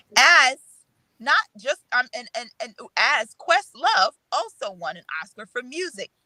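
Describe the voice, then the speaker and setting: A woman speaks at a fairly slow pace in a raised, projected voice, high in pitch with very wide pitch swings and big swings in loudness. The sound is dry and close, with no echo. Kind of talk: casual chat.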